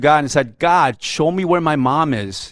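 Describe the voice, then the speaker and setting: Fairly slow delivery with ordinary pitch variation, on a very clean recording against a silent background. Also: man. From South Korea (Seoul), raised in New York from age seven. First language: Korean. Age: 50s. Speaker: media executive speaking at a men's fellowship. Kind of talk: testimony.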